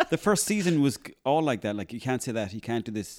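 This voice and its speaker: A man speaks very fast in an Irish accent with ordinary pitch variation. The recording is very clean, with a silent background and a dry, close sound with no echo. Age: 30s. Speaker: actor and comedian. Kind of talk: casual chat.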